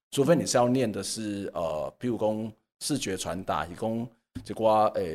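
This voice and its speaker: The man has a normal speaking voice at medium pitch, with ordinary pitch variation. The recording is very clean, with a silent background. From Taiwan, Kaohsiung. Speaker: communication professor. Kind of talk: casual interview.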